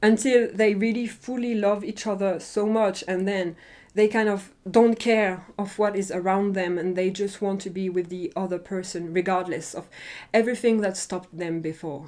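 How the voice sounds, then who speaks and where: A woman with a non-native accent speaks at a medium pitch and a moderate pace. The recording is very clean, with a silent background. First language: not English. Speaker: drama reviewer. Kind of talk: casual review monologue. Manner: animated.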